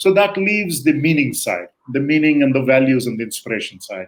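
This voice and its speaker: Using a plain, everyday voice, a man with a fairly high pitch talks at a moderate pace with lively intonation. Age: 60s. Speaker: guest expert on leadership. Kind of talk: interview conversation.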